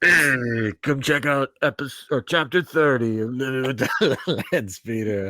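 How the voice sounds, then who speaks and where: A man puts on a character voice with a playful tone at a medium pitch. He keeps a moderate pace with hardly any pauses. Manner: playful impression.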